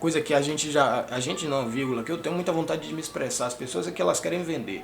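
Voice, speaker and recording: Audible room echo surrounds a man speaking, with music in the background. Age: 30s. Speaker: music teacher and youtuber. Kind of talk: casual vlog monologue. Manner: sometimes fast; stutters at times.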